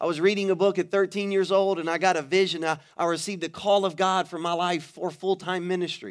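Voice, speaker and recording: Talking very fast with hardly any pauses, a man with an American accent uses an animated tone and a high pitch. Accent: Louisiana Cajun-tinged Southern US. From Louisiana, Baton Rouge. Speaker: pastor. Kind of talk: sermon. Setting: church stage with audience.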